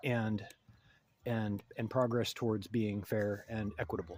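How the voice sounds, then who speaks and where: A man talks at a moderate pace and medium pitch. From United States. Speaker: video essayist. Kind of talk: monologue commentary. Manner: halting.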